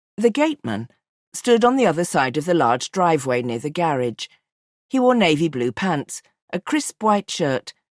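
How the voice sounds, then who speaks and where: Dry and close with no echo, this very clean recording with a silent background has a woman of fairly low pitch speaking at a moderate pace with very wide pitch swings. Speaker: audiobook narrator. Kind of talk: audiobook narration.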